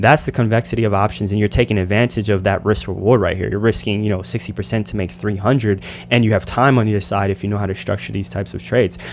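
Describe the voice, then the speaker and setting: Very fast male speech with hardly any pauses, fairly low pitch, ordinary pitch variation and vocal fry. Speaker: options trading educator. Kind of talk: tutorial.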